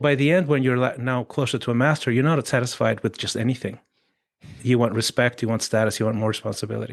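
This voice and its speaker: A man's very fast speech with vocal fry against a quiet background. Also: medium pitch for a man, fairly even intonation. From Chile. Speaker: coach and author. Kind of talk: casual chat.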